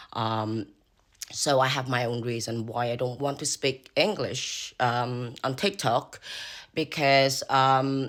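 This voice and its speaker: In a Cambodian accent, the speaker goes at a very slow pace with ordinary pitch variation on a very clean recording with a silent background. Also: man. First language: Khmer. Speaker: social media creator. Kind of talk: casual vlog talk. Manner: halting, many fillers.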